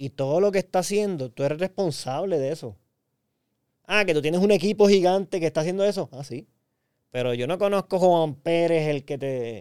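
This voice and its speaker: In a dry, close sound with no echo, a man with a high pitch talks at a fairly quick pace. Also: ordinary pitch variation. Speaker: podcast co-host. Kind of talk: casual chat.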